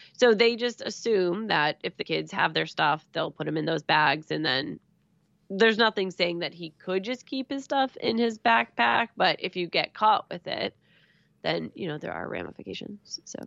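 At a moderate pace, a woman talks with a medium pitch, very wide pitch swings, and vocal fry. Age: 30s. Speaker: podcast co-host. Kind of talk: casual chat.

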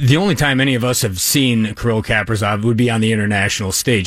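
Noticeable noise fills the background as a man rattles along at a very fast pace. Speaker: team radio play-by-play announcer. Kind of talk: casual chat about hockey.

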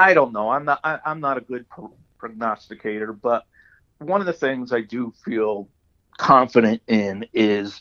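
In a normal speaking voice with an American accent, a man talks at a fairly slow pace and medium pitch, in a dry, close sound with no echo. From Hudson Valley, New York. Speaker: retired government spokesman. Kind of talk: interview. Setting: phone call.

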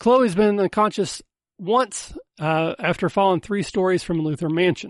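The sound is dry and close with no echo as a man with a high pitch talks at a moderate pace with ordinary pitch variation over a quiet background. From US South. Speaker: podcast host. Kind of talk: casual chat.

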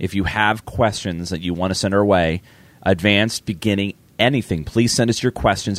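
Raspy and fairly low in pitch, a man speaks at a moderate pace with ordinary pitch variation on a very clean recording with a silent background and a dry, close sound with no echo. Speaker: gaming podcast co-host. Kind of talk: casual chat with gameplay commentary.

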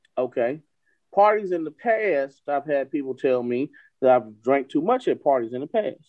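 Here is a man with a plain, everyday voice and a fairly high pitch. He speaks at a moderate pace with lively intonation. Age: 20s. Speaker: podcast co-host. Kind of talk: casual chat.

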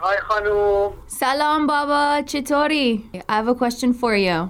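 Lively intonation in an American accent, with noticeable background noise. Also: woman. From California. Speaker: podcast host and singer. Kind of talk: casual chat. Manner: animated, chatty.

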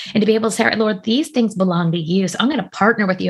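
On a very clean recording with a silent background, a woman speaks with a somewhat breathy voice and ordinary pitch variation. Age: 40s. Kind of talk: interview conversation.

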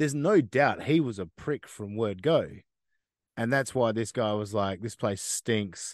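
Over a quiet background, a man with an Australian accent speaks at a fairly slow pace and medium pitch, his intonation lively. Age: 30s. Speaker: podcast host. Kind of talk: casual interview chat.

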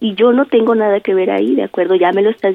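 The woman's delivery moves along at a fairly quick clip. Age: 30s. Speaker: prank call target. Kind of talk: phone conversation.

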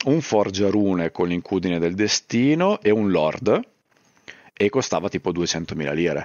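A man's fairly low-pitched voice, a plain, everyday voice, with lively intonation. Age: 30s. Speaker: YouTuber and streamer. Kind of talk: casual chat.

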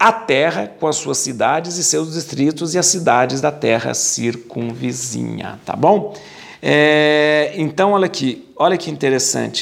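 A man's fairly high-pitched voice at a fairly slow pace, with ordinary pitch variation, noticeable background noise and audible room echo. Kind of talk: bible study lecture. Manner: casual, repetitive with fillers.

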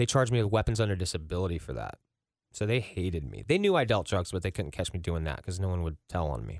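This man's very deep, low voice moves at a very fast pace with lively intonation. The recording is very clean, with a silent background. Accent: American. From Ross, Ohio (Cincinnati area). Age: 30s. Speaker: recovery nonprofit founder. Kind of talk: personal testimony in interview.

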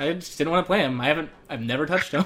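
With a Southwestern US accent, a man talks at a very fast pace in a fairly high, fairly bright voice with ordinary pitch variation. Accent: American Southwestern.

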